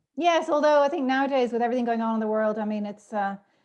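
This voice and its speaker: Over a quiet background, a woman with a slight Irish accent talks at a very fast pace, her fairly high pitch showing ordinary variation. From Ireland, Dublin. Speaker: podcast guest. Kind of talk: casual interview chat. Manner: talkative, many fillers.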